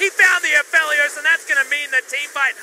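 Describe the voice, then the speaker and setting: With noticeable background noise behind him, a man projects a raised voice at an extremely high pitch. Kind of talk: esports play-by-play commentary. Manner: fast, excitable play-by-play delivery; conversational, laughs while casting.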